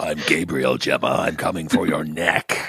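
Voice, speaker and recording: Putting on a character voice, this man talks at a moderate pace with a very deep, low pitch. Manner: deadpan, menacing words.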